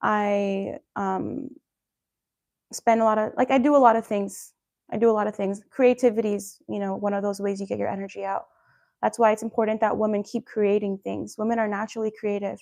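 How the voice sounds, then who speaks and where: A woman speaks at a fairly quick pace. Her intonation is monotone and flat, and the background is quiet. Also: medium pitch for a woman. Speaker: wellness coach and livestreamer. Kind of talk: live stream talk to viewers. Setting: live stream. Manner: fast.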